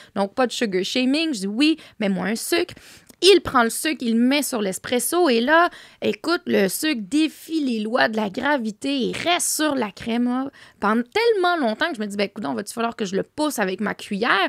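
A woman's high-pitched voice with very wide pitch swings at a moderate pace, dry with no echo against a quiet background. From Quebec. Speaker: entrepreneur; podcast guest. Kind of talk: casual chat. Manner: animated. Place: studio. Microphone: studio mic.

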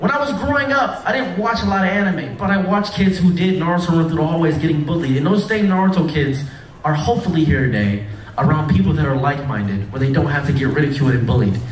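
A man with an American accent talks at a fast pace with few pauses, in a fairly high pitch with ordinary pitch variation. Audible room echo surrounds his voice.

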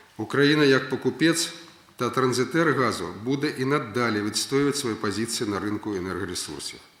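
A man at a medium pitch and moderate pace, with ordinary pitch variation. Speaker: prime minister. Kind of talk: official speech at government meeting.

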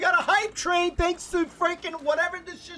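A man's raised, projected voice at an extremely high pitch. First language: Spanish. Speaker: gaming streamer. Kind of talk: casual live stream chat. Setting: live stream with voice chat. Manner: animated.

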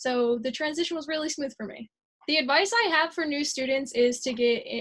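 Heard against a quiet background, the speaker has an American accent and ordinary pitch variation. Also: woman. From New Jersey (Sewell, South Jersey). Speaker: college alumnus, chemistry graduate. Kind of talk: promotional testimonial. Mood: friendly, positive. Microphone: webcam.

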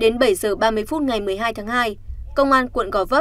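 A woman speaks in a high pitch with ordinary pitch variation. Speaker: news presenter. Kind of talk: news reading. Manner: formal.

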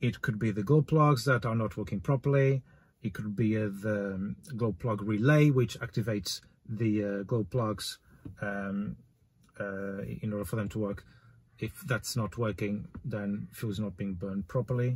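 Here is a man with a fairly low pitch. His voice is somewhat breathy, with ordinary pitch variation. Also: moderate pace. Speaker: car DIY vlogger. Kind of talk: tutorial. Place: car.

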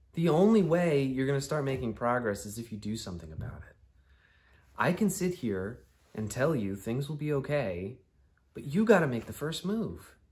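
Somewhat breathy speech at a moderate pace, with very wide pitch swings and big swings in loudness. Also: man. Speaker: actor performing a monologue. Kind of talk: dramatic monologue addressed to a friend. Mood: earnest, pleading, at times exasperated. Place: home room.

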